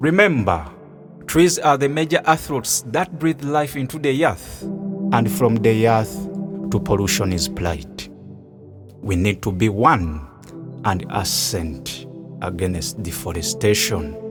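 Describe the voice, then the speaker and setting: Over music in the background, a man talks at a very slow pace with long, frequent pauses. His fairly low voice makes very wide pitch swings. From Uganda. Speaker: spoken word poet and environmental activist. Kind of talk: spoken word poetry performance.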